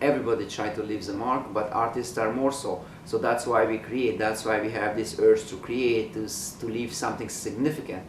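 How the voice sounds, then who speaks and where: A man speaks with a Hungarian accent. There is audible room echo and noticeable background noise. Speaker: painter, artist. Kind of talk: documentary interview monologue. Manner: halting, many fillers.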